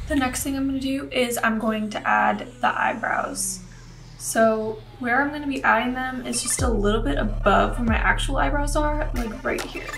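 A woman talks at a moderate pace with music playing in the background. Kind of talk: tutorial. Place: home room.

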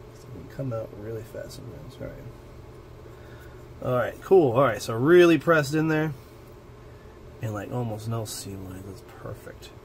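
A man at a moderate pace over light background noise, lively in intonation, with big swings in loudness and long, frequent pauses. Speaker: miniature-painting hobby video creator. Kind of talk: unboxing and build tutorial. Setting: home hobby desk with camera setup. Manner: casual, chatty and self-joking. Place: home room.

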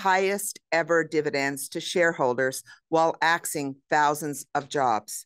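This woman's voice is very deep and low, moving at a fairly slow pace. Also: quiet background. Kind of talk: press conference statement. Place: hall.

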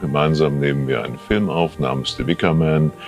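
Over clear background music, a man speaks in a very deep, low pitch. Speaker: dialogue director. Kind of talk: interview answer. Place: studio. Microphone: lapel.

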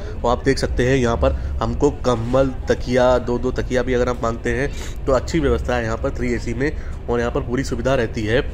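With music playing in the background, a man keeps a moderate pace. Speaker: travel vlogger. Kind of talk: casual vlog chat. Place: train. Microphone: phone near.

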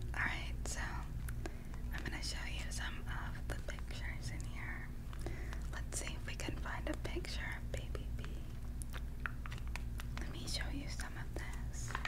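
Over loud background noise, a woman speaks at a fairly slow pace. She leaves long, frequent pauses. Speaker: ASMR creator. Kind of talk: whispered ASMR storytime. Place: home room. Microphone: studio mic.

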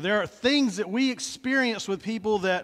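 The background is quiet. This man's pace is moderate. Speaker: pastor. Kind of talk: sermon. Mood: warm, friendly. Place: church. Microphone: headset.

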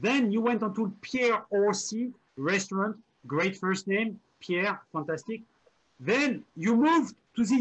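Very slow speech in a French accent with lively intonation. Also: man. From France, Normandy. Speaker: online show host. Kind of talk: casual chat. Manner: animated.

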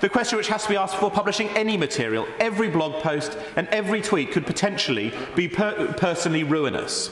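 Talking at a very fast pace in a southern English accent, a man with a high pitch and ordinary pitch variation is heard with audible room echo and light background noise. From England. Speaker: member of parliament. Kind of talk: parliamentary debate speech addressed to the Deputy Speaker. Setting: parliament chamber. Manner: measured, formal oratory with frequent self-repeating stumbles; earnest, concerned tone when quoting the blogger's worries. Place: hall.

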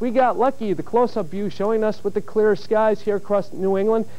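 A man's dark, mellow tone at a fairly quick pace, with fairly even intonation. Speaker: TV weatherman. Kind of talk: local TV weather forecast. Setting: television studio broadcast. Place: studio. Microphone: lapel.

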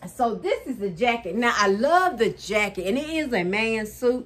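Intonation is lively. The pace stays moderate. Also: woman. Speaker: thrift haul vlogger. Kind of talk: casual vlog chat. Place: home room.

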